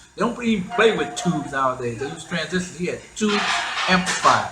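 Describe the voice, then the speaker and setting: Lively intonation and an American accent come through over music in the background and audible room echo. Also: man. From Queens, New York City. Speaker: hip hop DJ pioneer. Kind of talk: interview storytelling. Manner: halting with many repetitions.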